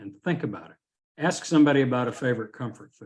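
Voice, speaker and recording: A man's medium-pitched voice, an ordinary speaking voice, fairly even in intonation. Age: 60s. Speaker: mediator and law school teacher. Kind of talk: webinar presentation. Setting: video call webinar.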